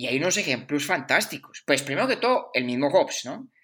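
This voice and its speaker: With a bright, sharp tone, a man speaks at a fairly high pitch, his voice making very wide pitch swings. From Colombia (Bogotá / Caldas). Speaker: philosophy podcast co-host. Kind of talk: casual chat.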